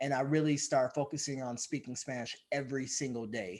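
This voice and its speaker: A man's fairly high voice with ordinary pitch variation, on a very clean recording against a silent background. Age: 40s. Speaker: adoptive single father. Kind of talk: interview. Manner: halting, many filler words.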